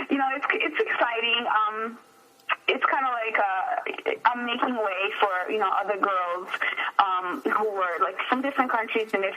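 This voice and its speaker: With lively intonation and a fairly high pitch, a woman speaks at a moderate pace over noticeable background noise. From abroad, moved to US at 13. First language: not English. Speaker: radio host. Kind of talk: interview.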